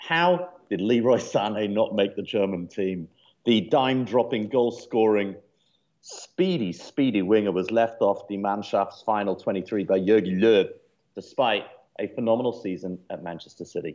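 This man has an English accent. He talks at a moderate pace. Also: fairly low pitch for a man, ordinary pitch variation. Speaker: podcast co-host. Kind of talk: casual chat. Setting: studio.

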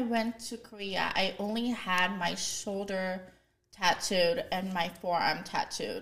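Her delivery is very slow. The woman's pitch moves with ordinary variation. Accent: American. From US, military family. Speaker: guest. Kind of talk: casual chat.

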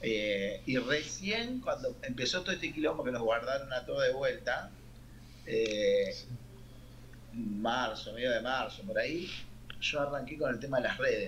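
Speaking in a Rioplatense accent, a man talks at a fairly slow pace with long, frequent pauses. Audible room echo surrounds his voice. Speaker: singer, keyboardist and songwriter. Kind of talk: casual interview.

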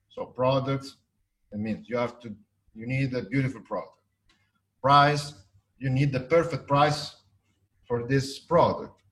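A man's medium-pitched voice with an Italian accent. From Italy. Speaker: architect and business developer. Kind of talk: interview. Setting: video call. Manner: halting, hesitant.

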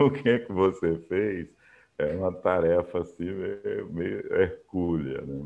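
A man talks at a very slow pace in a fairly low pitch. His intonation is lively. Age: 60s. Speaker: engineer and tech entrepreneur. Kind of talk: interview. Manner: talkative.

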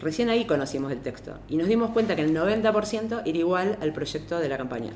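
The pitch swings very widely at a moderate pace. Room echo is audible throughout. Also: woman. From Argentina. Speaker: lawyer and feminist activist. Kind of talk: panel talk.

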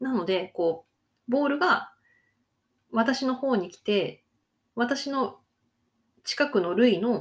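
The recording is very clean and the background is silent. Her intonation, that of a woman, is lively. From Hokkaido, Japan. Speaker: Japanese language teacher, podcaster. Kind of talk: casual monologue for Japanese learners. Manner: casual, frequent fillers.

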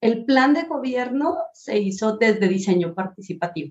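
A somewhat breathy woman's voice at a medium pitch with lively intonation. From Colombia, Pasto (Nariño, south near Ecuador). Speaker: design professor and researcher. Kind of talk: interview conversation. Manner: halting, many repetitions and fillers.

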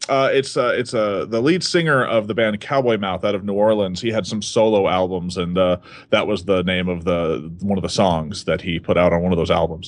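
A man's fairly low voice at a fairly quick pace, with hardly any pauses, ordinary pitch variation and a quiet background. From Texas, Dallas area. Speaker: stage magician. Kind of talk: interview. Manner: halting.

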